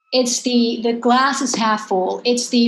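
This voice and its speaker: A woman with a Dutch accent talks at a moderate pace, her fairly high pitch carried by fairly even intonation. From Netherlands. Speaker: professor and moderator. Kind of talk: panel discussion.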